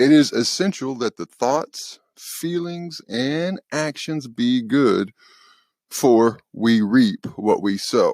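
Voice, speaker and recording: In a very clean recording with a silent background and a dry, close sound with no echo, a man with a Southern US accent speaks at a very slow pace, his medium-pitched voice carrying lively intonation. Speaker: podcast host. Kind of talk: spiritual talk podcast.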